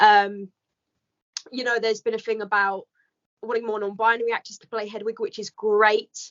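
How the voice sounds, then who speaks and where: The speaker has a British accent and a flat, monotone delivery at a moderate pace. Pauses are long and frequent, and loudness swings widely. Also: woman, fairly high pitch for a woman. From UK. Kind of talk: casual chat.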